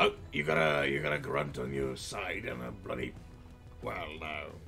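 A man does a put-on character voice at a moderate pace while clear music plays in the background. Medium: role play. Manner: hearty, formal and jovial.

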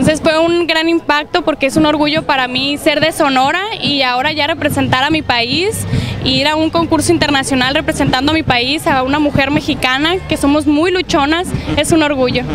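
Over noticeable background noise, a woman speaks at a high pitch and a moderate pace. Her intonation stays fairly even, and the sound is dry with no echo. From Mexico, Sonora (Navojoa). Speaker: beauty pageant winner. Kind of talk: interview. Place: street. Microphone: handheld.

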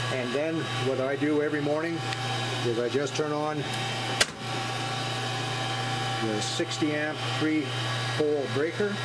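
Loud background noise fills the recording. The speaker talks at a fairly slow pace. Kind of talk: tutorial. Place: workshop. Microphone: phone near.

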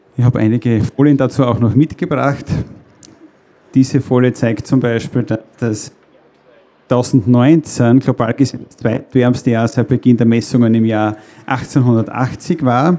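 A man speaks at a fairly slow pace with fairly even intonation and long, frequent pauses. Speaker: presenter. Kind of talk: lecture. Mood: friendly, lightly humorous. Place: stage. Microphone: handheld.

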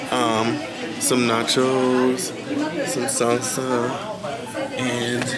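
A man speaks while crowd noise carries in the background. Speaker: vlogger. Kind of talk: casual vlog chat. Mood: relaxed, chatty. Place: cafe. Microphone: phone near.

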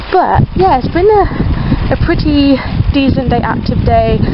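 A woman is heard with noticeable background noise. The sound is dry, with no echo. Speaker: vlogger. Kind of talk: casual vlog chat. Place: waterside. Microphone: phone near.

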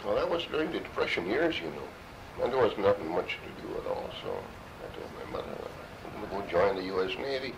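Amid noticeable background noise, a man with an American accent talks at a fairly quick pace with big swings in loudness. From Minnesota. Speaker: World War II veteran, bomber pilot. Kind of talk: oral history interview answer. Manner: casual, conversational.

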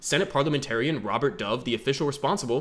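A man's medium-pitched voice with a fairly bright tone.

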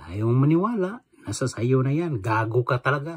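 A somewhat breathy man at a medium pitch and a fairly slow pace. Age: old. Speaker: vlogger. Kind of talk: angry rant. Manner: animated.

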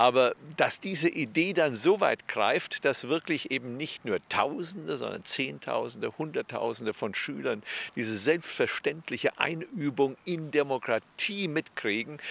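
With vocal fry and lively intonation, a man speaks in a dry sound with no echo. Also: fairly high pitch for a man, fairly slow pace. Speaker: political science professor. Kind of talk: interview. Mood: calm, earnest, engaged. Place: street. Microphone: handheld.

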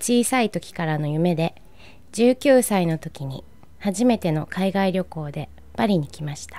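In a plain, everyday voice, the speaker goes at a fairly slow pace with lively intonation and big swings in loudness. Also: woman. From Japan, Nagano. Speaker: painter. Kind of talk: scripted personal narration.

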